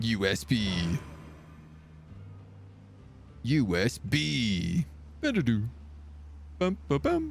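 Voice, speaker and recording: A man's put-on character voice, fairly low in pitch, at a very slow pace with long, frequent pauses and clear background noise. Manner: imitating an electronic chime.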